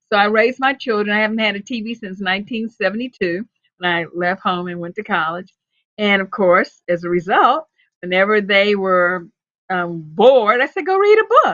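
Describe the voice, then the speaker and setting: A woman with an ordinary speaking voice talks at a medium pitch and a moderate pace, with ordinary pitch variation, big swings in loudness, and a dry, close sound with no echo. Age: 60s. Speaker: storyteller. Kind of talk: casual chat.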